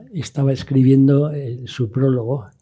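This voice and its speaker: This man's voice is somewhat breathy, with a dark, mellow tone. His pitch is fairly high. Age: 80s+. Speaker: sailor. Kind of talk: interview conversation. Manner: halting, with repeated words.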